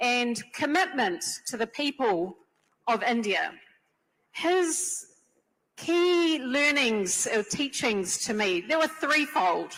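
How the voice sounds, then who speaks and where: A woman's high-pitched voice at a very slow pace, with very wide pitch swings, very even loudness and long, frequent pauses. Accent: strong New Zealand. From New Zealand. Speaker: panelist, community leader. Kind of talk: panel discussion.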